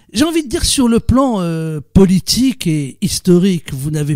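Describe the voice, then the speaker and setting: A man's dark, mellow voice with lively intonation, on a very clean recording with a silent background. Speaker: radio interviewer. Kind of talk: interview questions.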